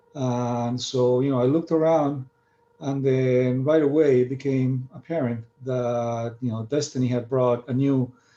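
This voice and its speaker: A man with a Spanish accent speaks at a medium pitch. His delivery is fairly slow, with monotone, flat intonation. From Argentina. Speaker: marine scientist. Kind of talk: lecture. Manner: halting, many fillers.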